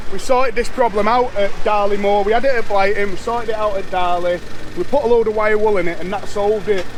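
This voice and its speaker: A man with an English accent talks at a very fast pace in a high pitch with fairly even intonation. Noticeable background noise and audible room echo run through the clip. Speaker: motorbike vlogger. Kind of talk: casual vlog. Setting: outdoors at a race circuit. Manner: loud.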